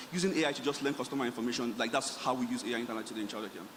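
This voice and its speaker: Ordinary pitch variation from a man, with noticeable background noise underneath. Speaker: startup founder panelist. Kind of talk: panel discussion. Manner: fast.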